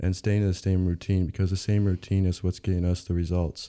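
A man speaks with an American accent in a very deep, low pitch. The recording is very clean, with a silent background. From Michigan, Lake Orion near Detroit. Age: young. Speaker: college baseball player. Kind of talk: casual interview. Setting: studio.

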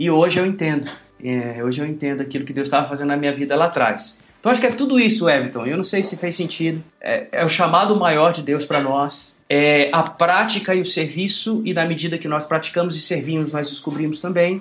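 A man speaks in an ordinary speaking voice, fairly high-pitched for a man, with ordinary pitch variation. His pace is fairly quick, with hardly any pauses. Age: 40s. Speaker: pastor and worship musician. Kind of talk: interview.

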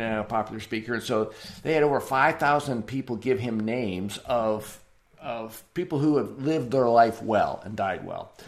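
The speaker is a man, and his pace is moderate. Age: 60s. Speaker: church planter and assessment developer. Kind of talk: interview conversation. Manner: halting.

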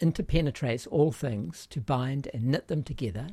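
A man talks at a moderate pace with a fairly high pitch. His tone is dark and mellow, and somewhat breathy. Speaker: podcast host. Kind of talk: casual interview conversation.

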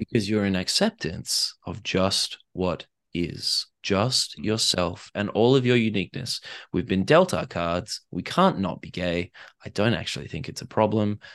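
In an Australian accent, the speaker talks at a fairly slow pace with ordinary pitch variation, in a dry, close sound with no echo and a quiet background. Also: man, fairly low pitch for a man. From Australia (Perth). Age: 30s. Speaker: author and life coach. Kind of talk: casual interview.

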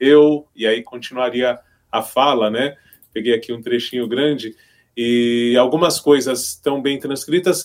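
Speaking at a fairly slow pace, a man has an unremarkable speaking voice, medium in pitch, with fairly even intonation. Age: 50s. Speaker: radio broadcaster and teacher. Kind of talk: casual chat.

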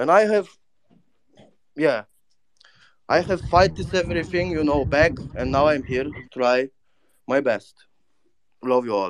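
A man with a non-native accent talks in a fairly high pitch with lively intonation. He leaves long, frequent pauses. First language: not English. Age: 30s. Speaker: spaces listener and NFT collector. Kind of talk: casual chat. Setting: online audio space. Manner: broken English, casual, profane.

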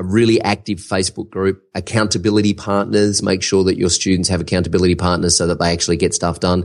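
A man with an Australian accent, very deep and low in pitch, very fast with hardly any pauses, flat and monotone, very even in loudness, against a quiet background. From Australia, Melbourne. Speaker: online course entrepreneur. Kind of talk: interview.

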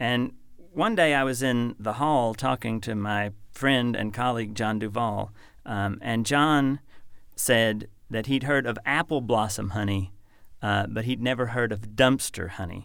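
A man with an ordinary speaking voice and an American accent talks at a fairly slow pace, his medium pitch varying in an ordinary way, in a very clean recording with a silent background. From Kentucky, US. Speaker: poet and professor. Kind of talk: poetry reading, performed aloud with measured, literary delivery. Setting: studio. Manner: measured, contemplative, lyrical.

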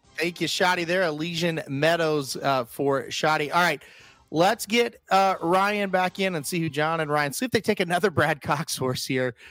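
The recording is very clean, with a silent background. A man with a high pitch speaks at a moderate pace and with ordinary pitch variation. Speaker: draft host. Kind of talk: livestream draft hosting, casual banter. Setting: livestream.

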